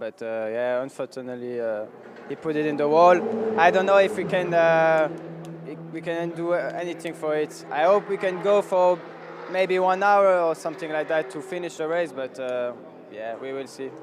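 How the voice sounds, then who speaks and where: Against noticeable background noise, a man with a French accent speaks at a moderate pace in a fairly high pitch with ordinary pitch variation. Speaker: racing driver. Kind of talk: post-race interview. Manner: halting.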